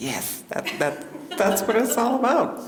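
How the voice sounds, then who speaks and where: Speaking at a very slow pace with lively intonation and a Pacific Northwest accent, a woman is heard over noticeable background noise and audible room echo. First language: Salish. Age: 70s. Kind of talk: storytelling talk with audience Q&A. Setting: seated at event with audience and microphone.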